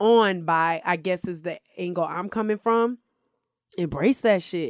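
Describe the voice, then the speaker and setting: On a very clean recording with a silent background and a dry, close sound with no echo, a woman speaks at a moderate pace with ordinary pitch variation. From US South, Stone Mountain near Atlanta, Georgia. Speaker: reality TV contestant. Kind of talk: casual chat.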